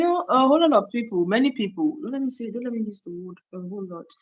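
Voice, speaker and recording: Speaking with a Nigerian accent, a woman uses a fairly high pitch that swings very widely. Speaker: YouTuber. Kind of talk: live stream chat. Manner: conversational, with many fillers.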